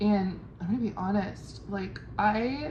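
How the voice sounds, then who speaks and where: In a room with audible echo, a woman talks with a strong Californian accent. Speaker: travel vlogger. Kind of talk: casual vlog monologue. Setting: at a homestay in Ubud. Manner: enunciates carefully.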